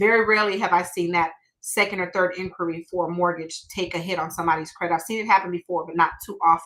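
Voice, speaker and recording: A woman with a fairly low voice, very fast delivery with hardly any pauses, and an animated tone. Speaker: mortgage broker. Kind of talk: webinar presentation. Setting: live stream.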